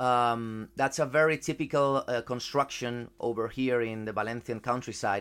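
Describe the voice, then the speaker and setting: Over a silent background in a very clean recording, a man talks at a medium pitch with fairly even intonation and hardly any pauses. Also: moderate pace. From Spain. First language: Spanish. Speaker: football journalist. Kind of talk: casual chat. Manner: halting.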